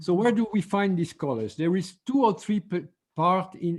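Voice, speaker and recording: This man has a French accent. His pitch varies in an ordinary way. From France. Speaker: color therapy teacher. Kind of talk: online seminar lecture. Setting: video call. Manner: halting, with frequent fillers and restarts.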